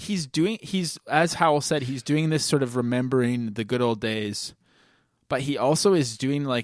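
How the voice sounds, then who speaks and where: In a Canadian accent, a man talks at a moderate pace with medium pitch and ordinary pitch variation. He has an unremarkable speaking voice, and the recording is very clean with a silent background. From Canada. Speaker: podcast host. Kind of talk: casual chat.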